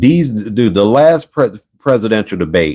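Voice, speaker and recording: A man's voice with lively intonation. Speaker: video podcast host. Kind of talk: casual solo commentary. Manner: loud; animated.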